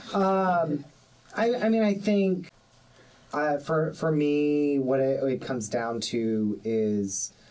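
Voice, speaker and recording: Speaking very slowly with an American accent, a man uses a fairly high pitch with very wide pitch swings and very even loudness. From North Carolina (Raleigh). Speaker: podcast producer and graduate student. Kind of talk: casual chat. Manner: halting.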